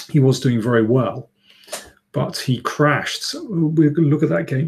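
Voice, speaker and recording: With a somewhat breathy quality, this man's voice shows ordinary pitch variation. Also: moderate pace. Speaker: chess commentator. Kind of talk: live stream chat. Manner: hesitant, many fillers.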